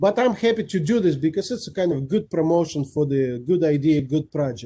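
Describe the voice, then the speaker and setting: A man's fairly high, dark and mellow voice at a fairly quick pace, with lively intonation. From Kazakhstan. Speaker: guest speaker, rotarian. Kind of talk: Q&A after presentation. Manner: fast.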